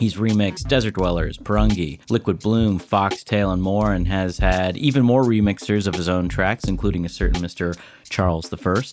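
A normal speaking voice from a man, fairly low in pitch, with ordinary pitch variation, moderate pace and hardly any pauses, on a very clean recording with a silent background. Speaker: manager and intro reader. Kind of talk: scripted intro read.

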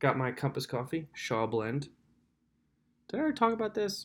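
The intonation is lively. The speaker talks with an American accent. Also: man. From Lancaster County, Pennsylvania. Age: 20s. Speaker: podcast host. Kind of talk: solo casual monologue. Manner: rambling, self-interrupting.

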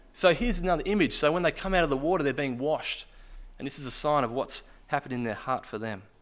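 Fairly high in pitch, a man rattles along at a very fast pace. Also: lively intonation. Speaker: church leader baptising people. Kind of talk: sermon. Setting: church.

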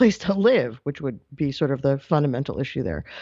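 This woman has an ordinary speaking voice with an American accent. Her intonation is lively and her pace moderate. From New York. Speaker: news correspondent. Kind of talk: radio interview.

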